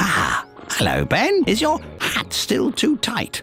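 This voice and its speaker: Over clear music in the background, a put-on character voice speaks at a fairly slow pace. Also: man. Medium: video game. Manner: halting, stuttering, chuckling.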